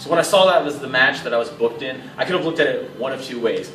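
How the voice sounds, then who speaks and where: Music is playing in the background. Over it, a man talks at a fairly high pitch. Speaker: professional wrestler. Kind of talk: wrestling promo.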